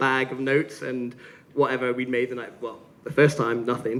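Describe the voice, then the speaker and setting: Noticeable background noise accompanies the recording. A man speaks at a fairly quick pace in a medium pitch. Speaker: gin brand founder giving a tasting talk. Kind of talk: live presentation at a tasting session. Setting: stage with audience. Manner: fast; animated.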